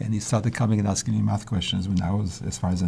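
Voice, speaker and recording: Talking very fast, a man uses a fairly low, dark and mellow voice with vocal fry. His intonation is lively. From Israel, then Switzerland from age twelve. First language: Polish. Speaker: mathematician. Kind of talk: interview. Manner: halting, with repetitions.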